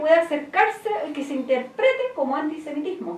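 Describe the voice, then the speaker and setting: A woman's fairly quick speech, very wide pitch swings, and audible room echo. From Chile, Santiago; Chile. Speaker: activist; interview guest. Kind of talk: interview; interview answer. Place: studio.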